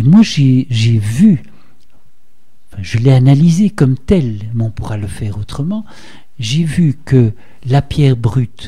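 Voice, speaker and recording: A man speaks at a very slow pace in a dark, mellow tone that is somewhat breathy, with a quiet background. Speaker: art historian; radio interviewee. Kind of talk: radio interview. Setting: studio. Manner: halting, many repetitions. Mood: calm explanatory. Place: studio.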